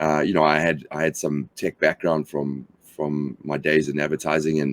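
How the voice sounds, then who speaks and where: A man with a South African accent, very deep and low in pitch, fairly even intonation, moderate pace, dry, close sound with no echo. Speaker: company founder. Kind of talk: interview. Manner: halting, many fillers.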